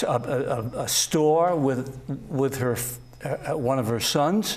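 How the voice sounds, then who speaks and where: A man speaks at a very slow pace with fairly high pitch. His pitch varies in an ordinary way, and the room echo is audible. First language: Italian. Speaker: talk show host. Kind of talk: interview.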